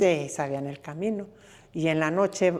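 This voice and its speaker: A woman's very deep, low voice at a fairly slow pace, with ordinary pitch variation. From Zacatecas, Mexico. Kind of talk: interview answer, family oral history. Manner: reflective, serious.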